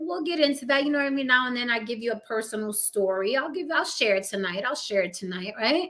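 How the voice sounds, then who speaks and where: A woman with a New York accent speaks at a fairly high pitch. Her tone is animated and her intonation lively. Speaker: livestream talk show host. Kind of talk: casual live-stream chat.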